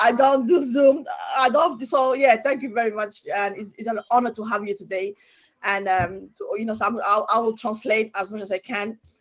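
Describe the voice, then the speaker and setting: At a moderate pace, a woman with a fairly high pitch and ordinary pitch variation speaks with big swings in loudness. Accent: French. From Djibouti. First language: French. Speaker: interpreter. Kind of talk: interpreting. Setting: video call. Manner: halting.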